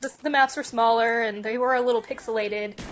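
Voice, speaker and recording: A woman in a plain, everyday voice, fairly high in pitch with ordinary pitch variation, at a fairly quick pace. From US West, Reno, Nevada. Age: 20s. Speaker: university student and gamer. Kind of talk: casual interview.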